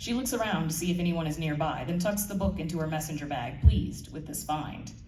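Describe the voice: In a room with audible echo, a woman talks at a fairly quick pace, her tone dark and mellow and her pitch low. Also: ordinary pitch variation.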